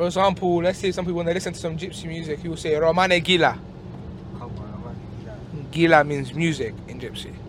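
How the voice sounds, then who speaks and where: A man's high-pitched, monotone voice with a London accent, fairly quick but broken by long, frequent pauses, with big swings in loudness and noticeable background noise. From England. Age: 20s. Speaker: taxi passenger. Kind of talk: casual chat. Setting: in a car.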